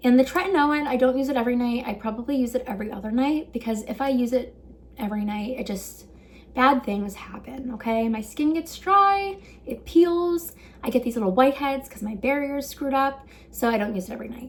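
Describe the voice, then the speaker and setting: A woman speaks at a fairly quick pace in a high pitch with lively intonation, over noticeable background noise. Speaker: beauty vlogger. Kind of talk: casual tutorial. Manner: fast.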